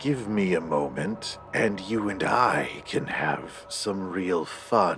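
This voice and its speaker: A man growls in a strained, put-on character voice with a fairly low pitch. He speaks at a very slow pace over clear background noise. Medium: actual play. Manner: whispering, sinister.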